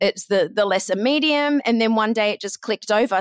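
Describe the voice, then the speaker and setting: Speaking at a moderate pace with an Australian accent, a woman comes through in a very clean recording with a silent background and a dry, close sound with no echo. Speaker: podcast booking agent. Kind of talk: interview.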